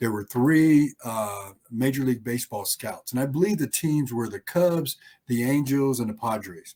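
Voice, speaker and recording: In an American accent, a man speaks at medium pitch with ordinary pitch variation and a moderate pace, his tone dark and mellow, the sound dry and close with no echo. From Arizona (Phoenix, Tempe). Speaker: former pro football player. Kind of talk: interview. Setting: podcast.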